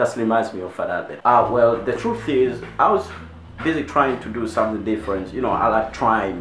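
A man talks at a fairly quick pace with ordinary pitch variation. Light background noise and audible room echo surround him. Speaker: comedy vlogger. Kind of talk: casual comedic vlog chat. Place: home room. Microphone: phone near.

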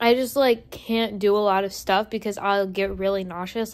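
Her intonation fairly even, a woman talks at a fairly slow pace. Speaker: vlogger. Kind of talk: casual vlog chat. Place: home room. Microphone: phone near.

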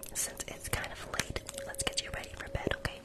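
Whispering at a fairly quick pace, a man comes through over noticeable background noise. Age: 20s. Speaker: ASMR creator. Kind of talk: ASMR livestream role-play, talking to viewers. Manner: whispered, soft-spoken.

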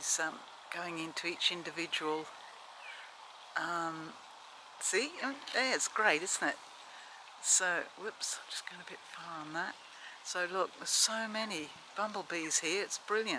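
In a dry sound with no echo and noticeable background noise, a woman with a fairly low voice speaks at a fairly slow pace, with big swings in loudness and long, frequent pauses. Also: ordinary pitch variation. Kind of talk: casual vlog chat. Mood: delighted, enthusiastic. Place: garden. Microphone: phone near.

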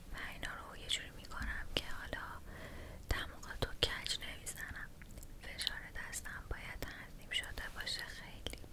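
A woman whispers. Her pace is moderate. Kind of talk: ASMR roleplay talk to viewer. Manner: soft, hushed ASMR speaking voice. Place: home room.

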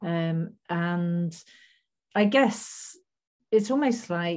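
Her voice sits fairly low for a woman, with a dark, mellow tone and ordinary pitch variation. The background is quiet. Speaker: guest. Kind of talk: interview answer. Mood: thoughtful, earnest. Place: home room. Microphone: video call.

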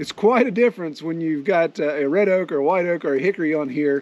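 With a dry sound and no echo, a man talks at a fairly quick pace with ordinary pitch variation. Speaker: farmer sawmill vlogger. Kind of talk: casual vlog chat. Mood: relaxed, amused. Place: farm. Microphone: phone near.

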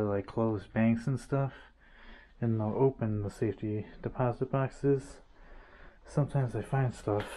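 A man talks at a moderate pace in a dark, mellow tone. His intonation stays fairly even over light background noise. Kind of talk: casual vlog narration. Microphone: phone near.

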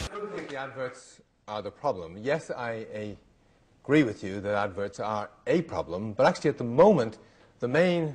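A man at a moderate pace, with big swings in loudness and very wide pitch swings. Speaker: lecturer. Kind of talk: lecture. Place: hall. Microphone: podium.

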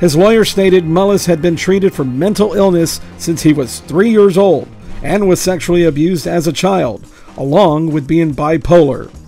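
A man with a high pitch speaks at a moderate pace with ordinary pitch variation. Music plays in the background. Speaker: local news presenter. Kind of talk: local news bulletin read.

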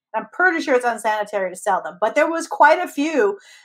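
Against a quiet background, a woman with a high pitch speaks at a fairly quick pace with very wide pitch swings. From US, Mexican American family. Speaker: comedian podcast co-host. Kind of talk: casual chat. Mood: amused disbelief, animated. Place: home room. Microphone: video call.

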